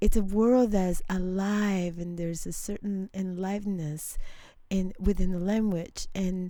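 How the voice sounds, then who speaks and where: Amid audible room echo, a woman speaks at a medium pitch and fairly slow pace, her tone dark and mellow and her intonation flat and monotone. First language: not English. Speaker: radio host. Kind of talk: interview. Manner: halting.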